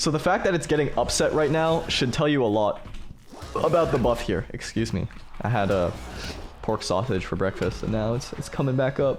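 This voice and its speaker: There is noticeable background noise as a man of medium pitch speaks with lively intonation. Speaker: gaming streamer. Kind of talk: game commentary tutorial. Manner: fast.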